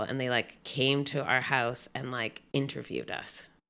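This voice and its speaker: A woman speaks in a Canadian accent with a very deep, low pitch. Her pace is moderate and her intonation monotone and flat. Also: very clean recording, silent background. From Canada, British Columbia (Gibsons). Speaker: guest sharing illness experience. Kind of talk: casual chat.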